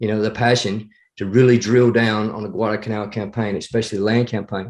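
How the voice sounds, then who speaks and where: Talking at a very fast pace, a man with an American accent keeps a flat, monotone delivery at a fairly low pitch. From US South, northeast Alabama (Appalachian). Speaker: former Marine and battlefield historian. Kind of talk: podcast interview. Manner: hesitant, many fillers.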